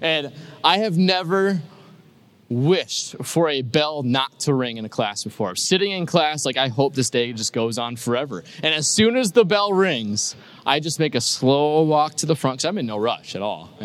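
A man in an ordinary speaking voice keeps a moderate pace, his fairly high pitch carried by lively intonation. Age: 20s. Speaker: pastor. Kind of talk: sermon. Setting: church.

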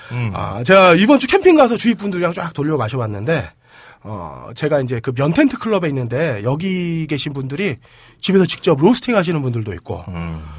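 A somewhat breathy man's voice, fairly high in pitch, with very wide pitch swings and a fairly quick pace. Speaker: podcast host. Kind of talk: casual banter podcast.

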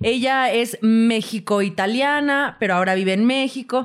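A fairly high-pitched female voice in a Mexican accent. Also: very clean recording, silent background. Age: 30s. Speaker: podcast co-host. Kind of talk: casual chat. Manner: animated.

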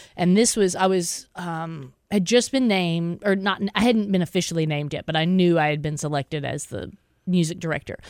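An ordinary speaking voice from a woman with an American accent, fairly low in pitch with ordinary pitch variation, at a moderate pace in a very clean recording with a silent background. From Texas, small town. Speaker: orchestra conductor. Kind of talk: radio interview.

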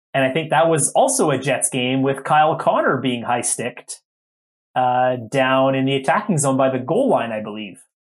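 A man with an unremarkable speaking voice talks at a medium pitch and a moderate pace, with ordinary pitch variation. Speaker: hockey referee podcast host. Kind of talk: casual chat.

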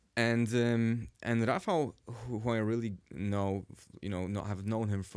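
A man's fairly low voice with a Polish accent, at a moderate pace, in a very clean recording with a silent background. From Warsaw, Poland. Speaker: cinematographer guest. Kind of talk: casual interview.

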